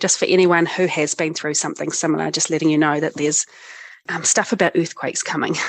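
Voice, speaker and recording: A woman with a New Zealand accent at a very fast pace, her intonation fairly even. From New Zealand, North Island. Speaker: cognitive scientist, disaster recovery expert. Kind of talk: interview, personal story.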